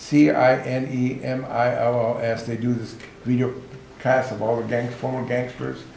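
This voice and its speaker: A man speaks with an American accent. Noticeable background noise and audible room echo are present. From Los Angeles, US. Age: 60s. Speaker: author and prison outreach worker. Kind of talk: informal talk to outreach workers.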